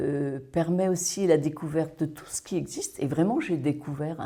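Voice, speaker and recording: A woman's very deep, low voice has a dark, mellow tone and ordinary pitch variation. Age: 60s. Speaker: workshop participant. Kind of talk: testimony.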